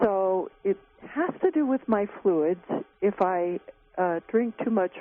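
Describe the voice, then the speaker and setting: Over noticeable background noise, the speech moves at a very slow pace with very even loudness and ordinary pitch variation. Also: woman. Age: 60s. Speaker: caller. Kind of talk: call-in question. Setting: phone call.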